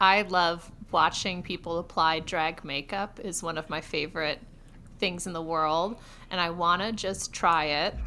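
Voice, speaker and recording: Bright and sharp in tone, a woman with an American accent speaks fairly slowly at a fairly low pitch with fairly even intonation, on a very clean recording with a silent background. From Rochester, New York. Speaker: comedy podcaster. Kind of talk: casual chat.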